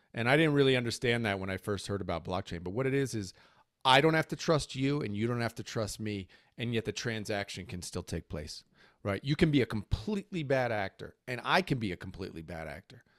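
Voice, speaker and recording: A man with medium pitch speaks at a very fast pace in an energetic tone with lively intonation. The recording is very clean with a silent background, and the sound is dry and close with no echo. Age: 50s. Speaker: NFT entrepreneur. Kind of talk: casual chat.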